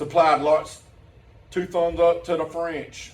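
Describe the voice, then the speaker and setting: A man speaks in a Southern US accent with a high voice. Noticeable background noise and audible room echo fill the recording. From US South. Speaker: teacher and pastor. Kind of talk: conference presentation.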